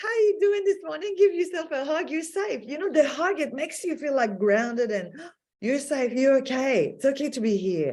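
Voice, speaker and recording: At a moderate pace, a woman speaks with a high pitch and very wide pitch swings. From Quebec, Montreal. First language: French. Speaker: healer, podcast guest. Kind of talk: interview. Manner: halting; soft-spoken.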